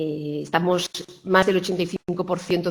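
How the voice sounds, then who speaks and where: Keeping a monotone, flat intonation, a woman moves through her words at a fairly quick pace. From Spain, Granada (Andalusia). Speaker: hospital quality director. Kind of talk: conference talk. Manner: halting, many false starts.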